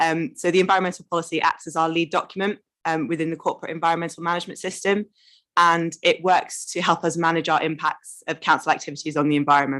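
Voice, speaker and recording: At a very fast pace and a fairly low pitch, a woman with an English accent speaks in fairly even intonation against a quiet background. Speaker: council officer. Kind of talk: presentation. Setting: committee meeting.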